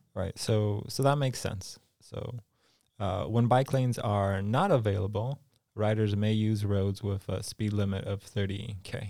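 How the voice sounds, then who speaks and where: A man with a plain, everyday voice and an American accent speaks at a fairly slow pace. His pitch sits fairly low and his intonation stays fairly even, on a very clean recording with a silent background. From California. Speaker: podcast co-host. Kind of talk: casual chat.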